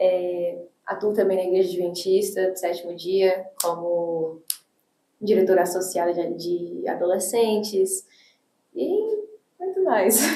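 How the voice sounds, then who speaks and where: A woman speaks at a very slow pace with a medium pitch and long, frequent pauses. Her intonation is monotone and flat. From Brazil (came from the US at age six). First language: English (speaking Portuguese). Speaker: teacher and church youth leader. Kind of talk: podcast interview.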